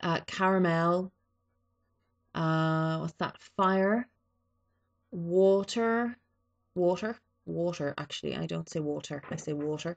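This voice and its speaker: Against a quiet background, the speaker goes at a very slow pace with long, frequent pauses and ordinary pitch variation. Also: woman, fairly low pitch for a woman. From East Coast of Ireland. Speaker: vlogger. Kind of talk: casual vlog, reading a word list. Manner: hesitant, many fillers.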